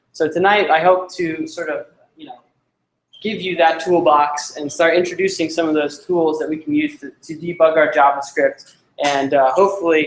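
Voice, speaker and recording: A man at a fairly high pitch, speaking at a moderate pace. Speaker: coding instructor. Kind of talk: lecture. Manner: loud.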